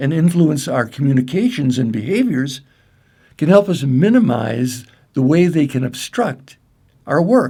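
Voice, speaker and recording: With a Midwestern American accent, the speaker has a somewhat breathy, dark, mellow tone, very wide pitch swings and a moderate pace. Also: man. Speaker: clinical psychologist and breathwork trainer. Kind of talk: training presentation. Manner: formal.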